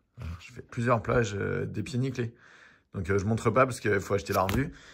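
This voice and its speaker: A man at a very fast pace and a fairly low pitch, somewhat breathy, with ordinary pitch variation and big swings in loudness. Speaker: history teacher and comic artist. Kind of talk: casual collection show-and-tell video. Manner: casual, hesitant with many fillers.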